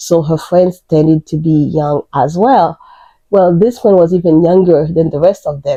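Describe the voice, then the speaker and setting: With a Haitian accent, a woman speaks at a moderate pace in a dark, mellow tone, her pitch fairly low and its variation ordinary. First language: Haitian Creole / French. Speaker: crochet YouTuber. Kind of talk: casual vlog introduction.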